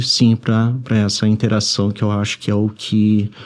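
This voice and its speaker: A man's fairly low, dark and mellow voice at a moderate pace. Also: quiet background. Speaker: writer. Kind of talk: interview. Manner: soft-spoken; halting.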